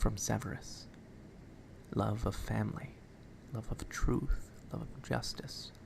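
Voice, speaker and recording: The speaker whispers fairly slowly, with long pauses coming often. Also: man. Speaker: ASMR creator. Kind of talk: ASMR book reading. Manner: soft-spoken.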